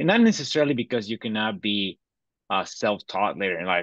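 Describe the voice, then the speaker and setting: This man speaks in a Bolivian accent at a fairly low pitch. The sound is dry and close with no echo, over a quiet background. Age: 30s. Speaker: fintech entrepreneur. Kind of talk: interview.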